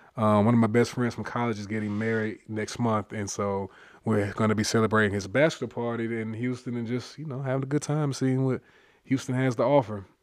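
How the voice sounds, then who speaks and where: A man's ordinary speaking voice at medium pitch, fairly quick and fairly even in intonation, over a quiet background. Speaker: medical student podcast host. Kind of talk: casual chat.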